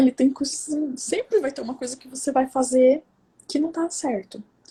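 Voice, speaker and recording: A soft-spoken woman talks at a moderate pace. Her voice is high in pitch. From Brazil, São Paulo. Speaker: psychoanalyst and women's coach, speaker. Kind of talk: personal testimony talk. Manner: soft-spoken, speaks quietly.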